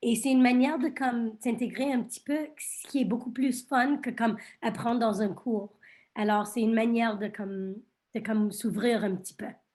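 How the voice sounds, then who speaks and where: In an English accent, a woman speaks at a moderate pace with a fairly high pitch and fairly even intonation, on a very clean recording with a silent background. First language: English (speaking French). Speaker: law school panelist. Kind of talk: panel discussion.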